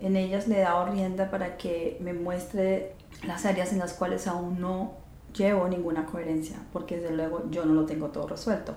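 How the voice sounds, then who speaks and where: Monotone and flat, a woman's fairly low voice carries audible room echo and noticeable background noise. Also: moderate pace. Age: 50s. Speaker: podcast host and astrologer. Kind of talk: reflective monologue.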